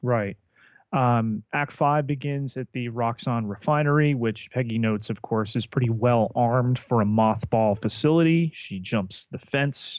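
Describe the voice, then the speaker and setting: Speaking at a fairly slow pace with a slight New Jersey accent, a man uses a medium pitch and ordinary pitch variation, and the sound is dry and close with no echo. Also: quiet background. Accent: New Jersey American, slight. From New Jersey, US. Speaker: podcast co-host. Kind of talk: casual podcast discussion. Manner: halting, many fillers.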